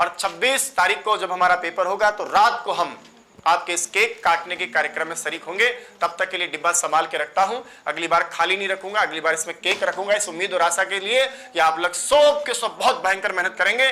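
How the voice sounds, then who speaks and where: A man with an animated tone and a high pitch speaks in a raised, projected voice, his pitch variation ordinary. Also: moderate pace. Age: 40s. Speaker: Sanskrit teacher. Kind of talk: online class address to students.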